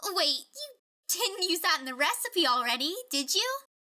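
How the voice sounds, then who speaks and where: Using a put-on character voice, a female-sounding speaker talks at a moderate pace with an extremely high pitch. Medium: audio drama.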